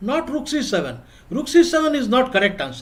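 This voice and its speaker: At a moderate pace, a man speaks in an Odisha accent. His pitch varies in an ordinary way. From India, Odisha. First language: Odia. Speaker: chess coach. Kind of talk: online class. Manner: repetitive.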